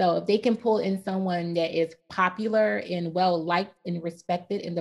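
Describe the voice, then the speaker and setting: This woman has an ordinary speaking voice with an American accent and a fairly low pitch. She talks at a moderate pace with ordinary pitch variation. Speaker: podcast co-host. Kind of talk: casual chat.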